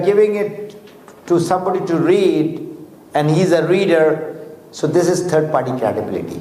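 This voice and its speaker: Here a man speaks at a high pitch with ordinary pitch variation. Audible room echo and noticeable background noise are present. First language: Urdu or Hindi. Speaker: motivational speaker for a network marketing business. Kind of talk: motivational talk. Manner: halting.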